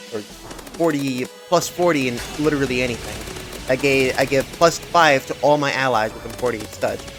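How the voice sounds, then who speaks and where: Music plays in the background. The speaker talks at a moderate pace. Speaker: gaming YouTuber. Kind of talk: gameplay commentary. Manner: halting, trips over words; casual, unscripted.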